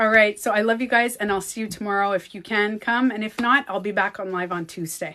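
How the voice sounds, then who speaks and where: Speaking fairly quickly with hardly any pauses, a woman with a French Canadian accent has a bright, sharp tone, medium pitch and fairly even intonation against a quiet background. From Quebec. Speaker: beauty coach and livestreamer. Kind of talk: casual livestream chat.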